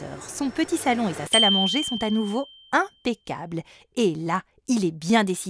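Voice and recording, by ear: Lively intonation in a natural voice reading aloud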